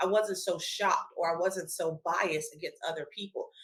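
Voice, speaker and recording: A woman with an American accent speaks in a fairly low pitch, her bright, sharp tone carried on fairly even intonation. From US, Washington DC. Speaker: panelist. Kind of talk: panel discussion.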